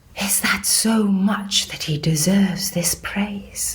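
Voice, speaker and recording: Put-on character voice at a middle pitch and a fairly slow pace. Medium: audio drama. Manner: measured, solemn.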